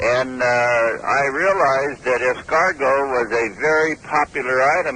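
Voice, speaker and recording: Noticeable background noise sits behind the speaker. He is a man with a medium pitch. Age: 70s. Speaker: snail club founder. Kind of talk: phone interview. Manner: hesitant, with fillers.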